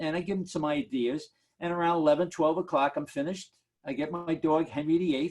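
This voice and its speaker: Fairly quick speech from a man with a New York accent and a fairly high pitch. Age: 70s. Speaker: market analyst. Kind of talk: Q&A on a video call. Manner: animated.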